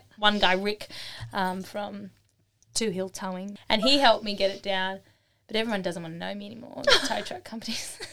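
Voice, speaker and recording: A woman with an Australian accent, animated and fairly quick, with big swings in loudness. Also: medium pitch for a woman, ordinary pitch variation. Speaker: artisan and craft workshop teacher. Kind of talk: casual interview chat. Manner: fast-talking; animated, lots of laughter.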